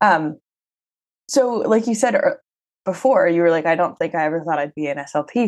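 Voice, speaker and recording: Against a quiet background, an ordinary speaking voice moves at a moderate pace with lively intonation. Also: woman. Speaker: podcast host. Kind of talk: interview. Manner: casual.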